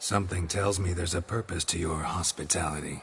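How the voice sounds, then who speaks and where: Amid clear background noise, a man uses a put-on character voice, very deep and low in pitch, at a fairly quick pace. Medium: video game. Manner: terse, dry.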